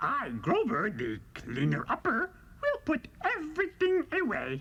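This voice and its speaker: Against clear background noise, someone performs a put-on character voice at a fairly slow pace. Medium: read story. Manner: earnest, polite.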